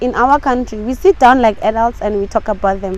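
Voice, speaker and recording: At a moderate pace and a fairly high pitch, a woman talks against noticeable background noise. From South Africa. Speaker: English teacher. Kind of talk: interview.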